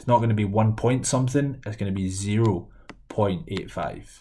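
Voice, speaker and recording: A man's fairly low, dark, mellow and somewhat breathy voice with a Scottish accent, ordinary pitch variation and audible room echo. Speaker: maths teacher. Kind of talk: lecture. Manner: fast.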